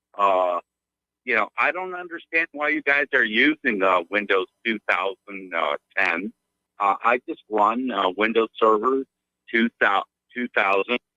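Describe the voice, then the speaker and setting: A man talks at a medium pitch and a fairly slow pace, with lively intonation. He leaves long, frequent pauses. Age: 60s. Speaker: caller, trader. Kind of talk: phone call-in. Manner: halting, many fillers.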